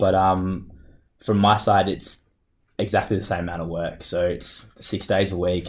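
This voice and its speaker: Speaking at a moderate pace with an Australian accent, a man uses a fairly low, somewhat breathy voice. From Australia, Perth. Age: 30s. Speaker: wheelchair basketball player. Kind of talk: interview. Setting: office.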